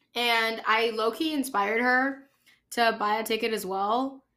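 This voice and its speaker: Her voice is fairly high and bright, with a sharp tone and fairly even intonation. This woman is captured on a very clean recording with a silent background. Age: 20s. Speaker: podcast host. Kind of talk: casual monologue.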